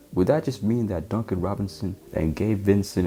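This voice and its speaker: Man speaking at a moderate pace with ordinary pitch variation, music in the background. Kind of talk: casual sports commentary while watching a game. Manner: stuttering, casual.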